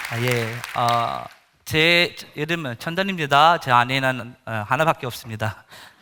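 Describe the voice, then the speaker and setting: Crowd noise sounds behind a man speaking at a fairly slow pace. His voice is medium in pitch, bright and sharp in tone, with ordinary pitch variation. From India. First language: Indian language, not Korean (speaking Korean). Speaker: missionary pastor. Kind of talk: sermon testimony. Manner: halting, many fillers.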